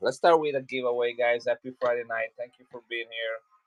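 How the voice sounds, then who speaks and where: In an Italian accent, a man speaks with fairly even intonation, the sound dry and close with no echo. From Italy, Milan. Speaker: coin seller. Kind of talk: live selling stream. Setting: livestream.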